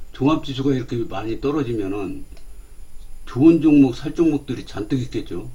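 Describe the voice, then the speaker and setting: Fairly high in pitch, a man speaks at a moderate pace with a dark, mellow tone. His voice is somewhat breathy. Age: 60s. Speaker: stock market commentator. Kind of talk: casual investing talk. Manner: hesitant, many fillers.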